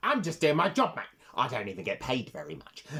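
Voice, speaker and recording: Putting on a character voice, a man speaks at a fairly quick pace in a fairly high pitch. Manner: fed up, resigned.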